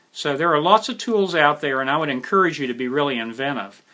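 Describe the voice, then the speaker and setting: Speaking with an American accent, a man has a bright, sharp tone. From West Virginia. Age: 60s. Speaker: instructor, military police veteran. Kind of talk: lecture. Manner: casual, conversational with fillers.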